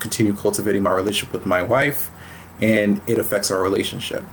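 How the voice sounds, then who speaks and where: A man's fairly quick delivery in an ordinary speaking voice. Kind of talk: casual interview chat. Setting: virtual recording, online call.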